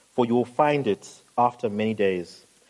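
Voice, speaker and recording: A man with a plain, everyday voice talks at a moderate pace and medium pitch, his intonation lively and the sound dry and close with no echo. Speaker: pastor, sermon preacher. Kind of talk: sermon delivered to a congregation.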